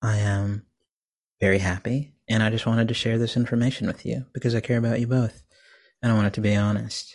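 A man's medium-pitched voice with an American accent, monotone and flat, at a fairly quick pace against a quiet background. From US Texas. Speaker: indie musician. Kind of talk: casual interview chat. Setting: remote recording.

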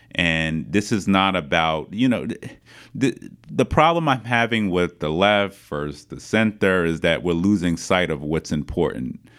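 A man's very deep, low voice with a New York accent, a fairly slow pace and lively intonation. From Queens, New York City. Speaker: city council member and political candidate. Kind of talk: interview.

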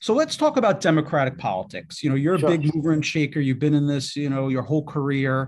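Speaking at a very fast pace, a man has an American accent. His pitch is fairly high. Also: ordinary pitch variation. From Queens, New York City. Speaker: podcast host. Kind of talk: interview; scripted introduction.

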